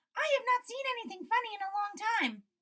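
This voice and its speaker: A woman's squeaky, put-on character voice, extremely high-pitched, at a very fast pace. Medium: read story.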